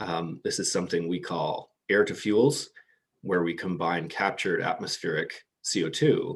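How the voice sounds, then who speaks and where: Against a quiet background, a man talks at a moderate pace. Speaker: clean-tech company representative. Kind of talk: conference presentation. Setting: video call. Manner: hesitant, frequent ums and repeated words.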